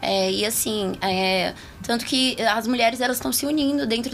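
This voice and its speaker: Noticeable background noise accompanies a woman speaking at a fairly high pitch. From Taguatinga, Federal District, Brazil. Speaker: political candidate. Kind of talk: interview. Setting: radio studio.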